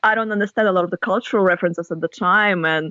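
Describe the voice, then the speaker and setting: With a Russian accent, a woman talks at a fairly quick pace in a dry, close sound with no echo. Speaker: author and university lecturer. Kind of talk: podcast interview.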